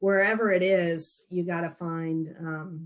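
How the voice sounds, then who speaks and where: A woman with an ordinary speaking voice speaks at a fairly low pitch with fairly even intonation. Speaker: watershed nonprofit staff. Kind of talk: webinar Q&A.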